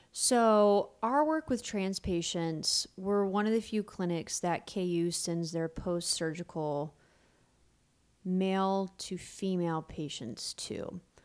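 At a very slow pace, a woman speaks at a medium pitch with ordinary pitch variation, captured in a very clean recording against a silent background. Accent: American. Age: 30s. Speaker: pelvic floor physical therapist. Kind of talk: casual interview.

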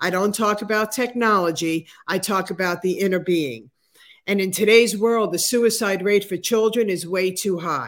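Recorded very cleanly against a silent background, a woman in an unremarkable speaking voice talks at a moderate pace, with medium pitch for a woman and ordinary pitch variation. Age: 60s. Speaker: motivational speaker and author. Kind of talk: interview.

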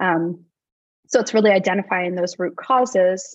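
Against a quiet background, a woman at medium pitch uses an ordinary speaking voice, talking at a moderate pace with ordinary pitch variation. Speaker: medical doctor. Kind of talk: casual interview chat.

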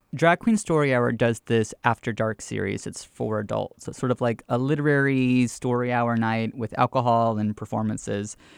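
On a very clean recording with a silent background and a dry, close sound with no echo, a man with an ordinary speaking voice and medium pitch speaks with fairly even intonation and hardly any pauses. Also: moderate pace. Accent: American. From US South, Georgia (Gwinnett County). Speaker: drag queen and storyteller. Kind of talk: interview conversation.

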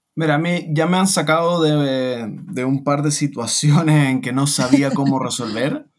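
An unremarkable speaking voice from a man, fairly high in pitch, with ordinary pitch variation and hardly any pauses. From Chile. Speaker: online seller. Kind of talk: interview.

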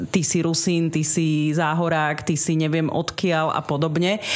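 Noticeable background noise sits behind a woman. She speaks fairly slowly at a fairly low pitch. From eastern Slovakia, Snina district, Rusyn village. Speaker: radio presenter and podcaster. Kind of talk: radio interview. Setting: radio studio.

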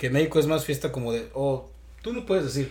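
A man speaks at a fairly quick pace in a somewhat breathy voice. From Michoacán, Mexico. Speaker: podcast host. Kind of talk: casual chat.

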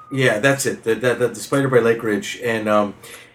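Noticeable background noise fills the clip. A man is the one talking. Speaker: guest co-host of a gaming podcast. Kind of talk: casual chat.

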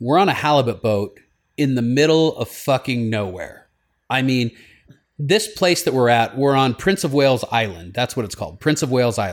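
Over a silent background on a very clean recording, a man talks at a moderate pace and medium pitch. He has a plain, everyday voice with lively intonation. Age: 40s. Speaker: podcast host and radio talk host. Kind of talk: casual chat.

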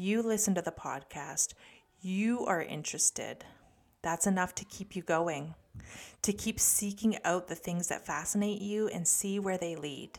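A woman in a Canadian accent talks at a moderate pace in a plain, everyday voice, on a very clean recording with a silent background. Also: medium pitch for a woman, ordinary pitch variation. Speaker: podcast host and developing psychic medium. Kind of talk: casual solo podcast talk.

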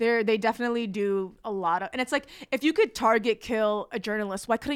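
With an American accent, an ordinary speaking voice moves at a fairly quick pace with hardly any pauses and ordinary pitch variation. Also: woman, very clean recording, silent background. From New Jersey, North Bergen. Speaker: comedian and activist. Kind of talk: casual chat.

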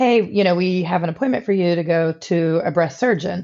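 With an ordinary speaking voice, a woman talks at a moderate pace. Her pitch is fairly low. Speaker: nurse and tattoo artist, cancer survivor. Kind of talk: interview testimony.

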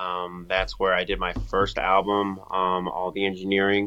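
Speaking with an American accent, a man has an unremarkable speaking voice, fairly low in pitch, at a moderate pace. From Washington, D.C. area. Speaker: hip-hop artist. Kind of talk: casual interview chat. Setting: studio.

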